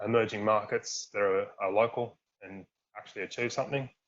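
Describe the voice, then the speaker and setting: A man with an Australian accent and a medium pitch, talking at a very fast pace. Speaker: workshop co-chair. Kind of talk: virtual workshop presentation. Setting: video call. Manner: monotone.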